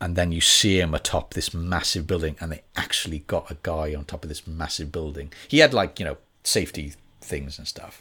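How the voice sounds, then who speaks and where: A man with a Welsh accent speaks at a fairly quick pace, very deep and low in pitch, with a bright, sharp tone. His intonation is fairly even, on a very clean recording with a silent background. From Wales. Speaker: actor and voice artist. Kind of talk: casual chat. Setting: studio.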